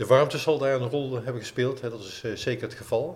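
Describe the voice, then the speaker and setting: Somewhat breathy and monotone, a man speaks at a fairly quick pace with audible room echo. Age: 60s. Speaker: running coach and author. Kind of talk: casual chat. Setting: clubhouse.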